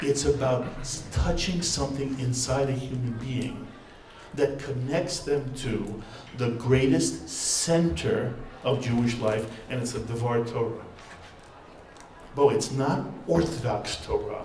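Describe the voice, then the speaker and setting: Fairly slow delivery with ordinary pitch variation, long and frequent pauses, noticeable background noise, and audible room echo. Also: man, medium pitch for a man. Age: 60s. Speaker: rabbi and TV network founder. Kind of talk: panel talk. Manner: animated.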